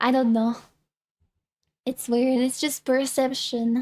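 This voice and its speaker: Very slowly and in a flat monotone, a woman with a slight French accent speaks at a high pitch. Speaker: VTuber streamer. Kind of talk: casual chat. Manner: halting.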